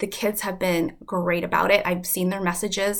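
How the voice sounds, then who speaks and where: The tone is bright and sharp, captured in a very clean recording over a silent background. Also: woman. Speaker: first grade teacher. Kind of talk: casual video message to parents. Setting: home. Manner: fast; casual with fillers.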